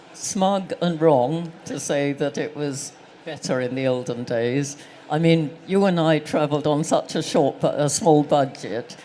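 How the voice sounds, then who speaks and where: A woman with a very deep, low pitch and ordinary pitch variation, talking at a fairly slow pace over noticeable background noise. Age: 80s+. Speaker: travel writer and guidebook publisher. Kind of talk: live on-stage interview. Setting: stage with live audience.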